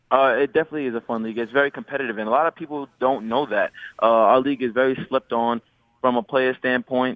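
A man with a New York accent and fairly even intonation. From New York City (Queens). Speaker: professional basketball player. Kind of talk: radio interview.

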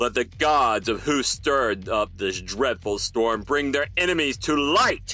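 A man uses a booming, put-on character voice at a medium pitch, moving at a fairly slow pace with hardly any pauses. Clear music plays behind him.

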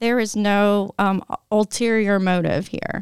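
With a Tennessee accent, a woman speaks in fairly even intonation, the sound dry and close with no echo. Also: very clean recording, silent background. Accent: US Southern (Tennessee). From Tennessee, Nashville. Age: 40s. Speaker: parent activist for gun safety. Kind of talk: interview conversation.

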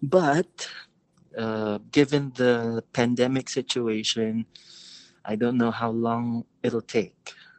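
A man speaks at a very slow pace. His medium-pitched voice keeps a fairly even intonation. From Philippines. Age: 30s. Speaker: caller. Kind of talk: advice call.

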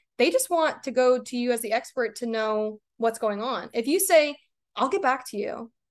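Against a quiet background, a woman with a normal speaking voice and an American accent talks at a fairly slow pace with a fairly high pitch and ordinary pitch variation. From Maine, US. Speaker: sports dietitian. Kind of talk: interview.

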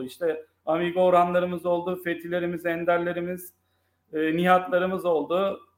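A man speaks at a high pitch. His pace is moderate and his intonation monotone and flat. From Turkey, grew up in various cities. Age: 30s. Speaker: football fan and sports commentator. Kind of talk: casual chat.

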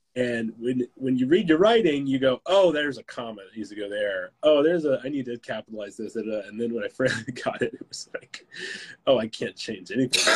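Speech runs at a fairly quick pace in an ordinary speaking voice, with ordinary pitch variation and big swings in loudness. The sound is dry and close, with no echo. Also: man, medium pitch for a man. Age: 30s. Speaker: author and filmmaker. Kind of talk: casual chat. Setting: live stream.

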